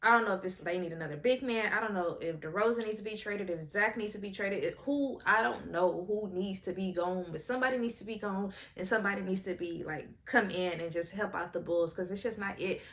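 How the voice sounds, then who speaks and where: A woman talks at a very fast pace in a medium pitch, with hardly any pauses and ordinary pitch variation. Her tone is animated, and there is noticeable background noise. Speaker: sports commentary vlogger. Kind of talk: casual commentary.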